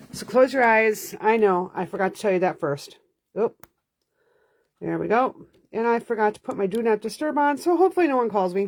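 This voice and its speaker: Her intonation is lively. The woman moves at a fairly quick pace. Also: fairly high pitch for a woman. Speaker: card-making instructor. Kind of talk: live-streamed craft class. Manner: fast; chatty, with many fillers.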